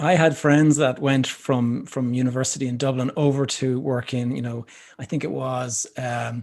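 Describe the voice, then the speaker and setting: Speaking with an Irish accent, a man talks at a moderate pace. His pitch is medium and his intonation fairly even. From Ireland. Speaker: podcast host. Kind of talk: podcast interview.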